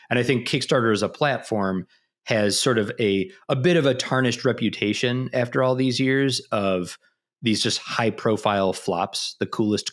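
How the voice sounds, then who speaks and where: In a very clean recording with a silent background, a man with a Midwestern accent speaks at a moderate pace, his medium pitch showing ordinary variation. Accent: Midwest US. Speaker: marketing executive. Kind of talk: interview. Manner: halting, many fillers.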